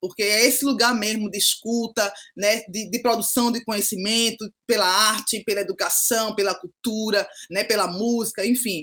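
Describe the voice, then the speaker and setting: Bright and sharp in tone, a woman's fairly high voice moves at a moderate pace with fairly even intonation. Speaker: pedagogue and social educator. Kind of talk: podcast interview. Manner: frequent tag 'né' fillers.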